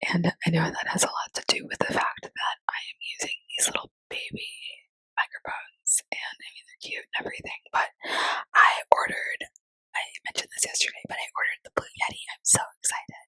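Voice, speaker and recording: Someone is whispering at a fairly quick pace. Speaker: ASMR content creator. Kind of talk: ASMR whisper chat. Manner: soft-spoken.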